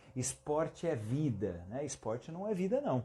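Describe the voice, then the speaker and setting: A man speaks at a fairly slow pace in a dark, mellow tone that is somewhat breathy. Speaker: physiotherapy teacher. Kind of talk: live-stream lecture. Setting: Instagram live stream.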